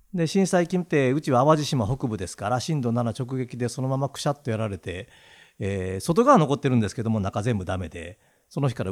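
A man with a Kansai accent talks at a fairly quick pace at medium pitch, with very wide pitch swings. The recording is very clean, with a silent background. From Awaji Island, Hyogo (Kansai). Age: 60s. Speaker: business owner. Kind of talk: casual chat.

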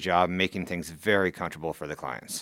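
A man with a US Midwestern accent talks at a very fast pace in a very deep, low pitch. His tone is bright and sharp on a very clean recording with a silent background. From Council Bluffs, Iowa, US Midwest. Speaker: contractor. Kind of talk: casual chat. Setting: studio.

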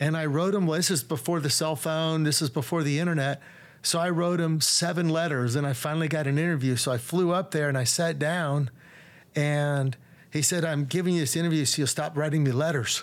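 In an American accent, a man with an ordinary speaking voice talks at a fairly quick pace and fairly high pitch, with fairly even intonation and very even loudness, on a very clean recording with a silent background. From Texas, Dallas. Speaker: real estate developer. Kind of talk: casual interview.

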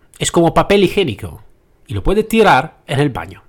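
This man speaks with an Italian accent. His pace is fairly quick. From Italy. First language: Italian (speaking Spanish). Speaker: podcast host, trainer and consultant. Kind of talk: solo podcast monologue. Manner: halting, with hesitations.

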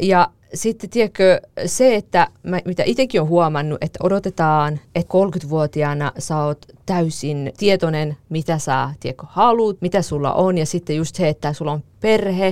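A woman talks at a fairly slow pace in an ordinary speaking voice, with ordinary pitch variation. The sound is dry and close, with no echo. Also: fairly low pitch for a woman. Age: 30s. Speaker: podcast host. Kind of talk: casual chat; scripted narration.

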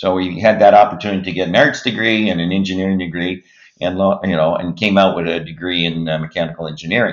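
A man with a Maritime accent talks at a very fast pace. His pitch is very deep and low, and his intonation stays fairly even. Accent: Canadian English, Maritimes. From Nova Scotia, Halifax-Dartmouth. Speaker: company CEO. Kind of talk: interview.

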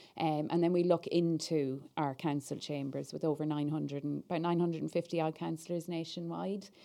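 Over a very clean recording with a silent background, a woman with an Irish accent speaks at a fairly quick pace in a very deep, low pitch, her dark, mellow tone delivered in a flat monotone. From Ireland. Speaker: political party staff officer. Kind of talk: podcast interview.

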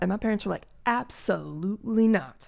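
The recording is very clean, with a silent background. In it, a woman talks with an American accent. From Gary, Indiana, US Midwest. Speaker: podcast co-host. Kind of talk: casual chat.

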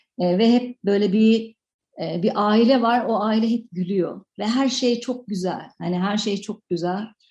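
The voice has a dark, mellow, somewhat breathy tone, with fairly even intonation at a fairly slow pace. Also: woman, fairly high pitch for a woman. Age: 40s. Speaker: film director. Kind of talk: radio interview. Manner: halting, many fillers.

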